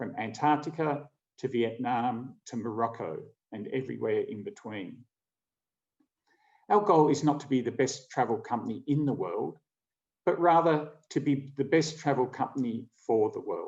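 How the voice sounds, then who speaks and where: With an Australian accent, a man speaks at a moderate pace in a fairly high pitch, ordinary pitch variation, and long, frequent pauses. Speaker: travel company co-founder. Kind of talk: keynote presentation.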